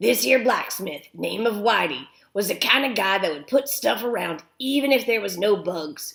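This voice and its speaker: Using a raspy put-on character voice, a woman speaks at a medium pitch and moderate pace, her pitch swinging very widely. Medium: read story. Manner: folksy, rambling.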